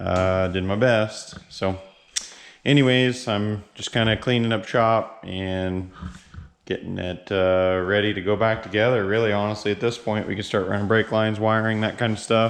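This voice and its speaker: Flat and monotone, a man speaks at a fairly low pitch. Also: moderate pace. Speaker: car builder vlogger. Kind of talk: casual vlog narration. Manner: casual, many filler words.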